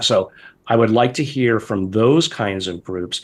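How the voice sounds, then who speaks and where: A man at a medium pitch, talking at a moderate pace. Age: 60s. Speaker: scientist and professor. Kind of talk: interview. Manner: pointed, emphatic.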